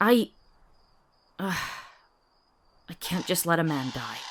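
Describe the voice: Using a put-on character voice, a woman speaks slowly at a fairly low pitch, with big pitch swings.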